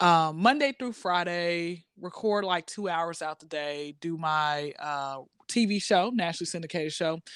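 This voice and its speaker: In a very clean recording with a silent background, a woman speaks at a fairly low pitch and a moderate pace, with ordinary pitch variation and hardly any pauses. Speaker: college graduate and stand-up comedian. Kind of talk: casual chat. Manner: loud.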